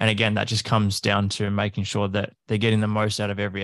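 A man talks with an Australian accent at a fairly low pitch, his intonation monotone and flat. The recording is very clean, with a silent background. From Australia, country Victoria. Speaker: fitness coach. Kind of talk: casual interview chat.

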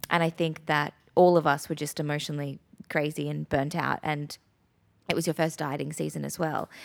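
A woman with an Australian accent speaks at a moderate pace in a very deep, low voice with flat, monotone intonation, recorded very cleanly against a silent background. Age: 30s. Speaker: podcast host, posing coach and business owner. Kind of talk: casual chat.

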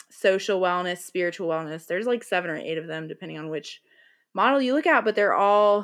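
A woman with an American accent talks in an ordinary speaking voice at a medium pitch. Her intonation is lively, her pace fairly quick, and the background quiet. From US South, North Carolina. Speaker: podcast host, yoga guide. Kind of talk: casual interview conversation.

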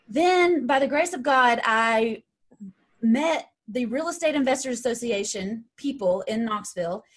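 A high-pitched woman with an East Tennessee accent, lively in intonation and at a fairly slow pace. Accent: Southern US (East Tennessee). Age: 30s. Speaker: real estate investor and coach. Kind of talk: interview.

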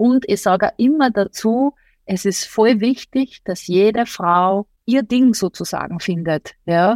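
A woman with a normal speaking voice talks at a fairly slow pace and a fairly high pitch. Her pitch varies an ordinary amount, and the sound is dry and close with no echo. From Austria. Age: 40s. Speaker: journalist and podcaster. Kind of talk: interview.

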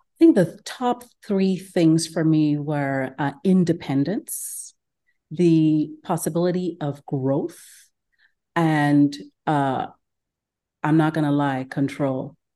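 At a very slow pace with long, frequent pauses, the voice has a dark, mellow tone and ordinary pitch variation against a quiet background. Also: woman, very deep, low pitch for a woman. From Ghana. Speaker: gastroenterologist. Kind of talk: interview conversation.

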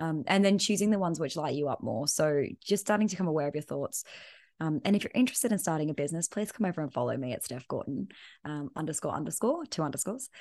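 With an Australian accent, a woman speaks at a very fast pace with lively intonation and a very deep, low pitch. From Perth, Western Australia. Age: 30s. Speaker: business coach. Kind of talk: casual interview chat.

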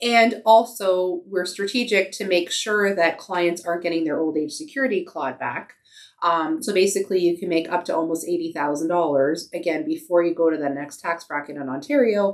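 A woman speaks in an ordinary speaking voice with a Canadian accent. Her pitch is fairly low with ordinary variation, and her pace is fairly quick. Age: 40s. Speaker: financial advisor. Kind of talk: casual chat.

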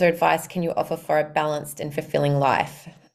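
A woman's voice sits at a very deep, low pitch and carries vocal fry. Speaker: podcast host and wealth and mindset coach. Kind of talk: casual interview.

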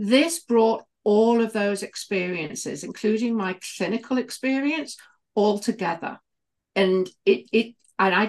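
A woman speaks with a British accent at a fairly high pitch. Her pace is moderate. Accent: British, noticeable. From United Kingdom. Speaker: healer and former midwife. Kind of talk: casual chat, podcast conversation.

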